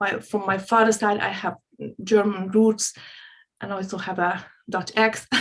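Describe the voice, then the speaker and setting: A woman with a Hungarian accent, fairly slow, flat and monotone, with long, frequent pauses. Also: medium pitch for a woman. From Hungary. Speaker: spiritual coach. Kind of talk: casual interview chat. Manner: halting.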